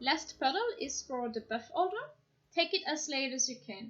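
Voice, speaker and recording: This woman talks at a moderate pace with a high-pitched voice. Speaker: gaming guide creator. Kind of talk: game guide narration.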